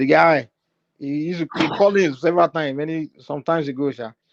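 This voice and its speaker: Very fast and animated, a man talks at a fairly high pitch. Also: big swings in loudness. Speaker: live-stream talk show host. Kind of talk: casual chat.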